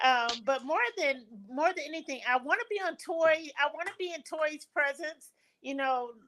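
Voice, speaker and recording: The woman's voice is high-pitched with a bright, sharp tone. She moves at a moderate pace with ordinary pitch variation. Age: 50s. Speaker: business advocate. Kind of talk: casual chat.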